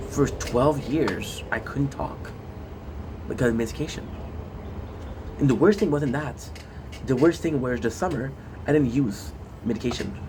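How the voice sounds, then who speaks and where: Audible room echo surrounds a man at a medium pitch with ordinary pitch variation who leaves long, frequent pauses. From Quebec, Canada. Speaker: gaming streamer. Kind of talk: casual monologue. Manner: fast; animated.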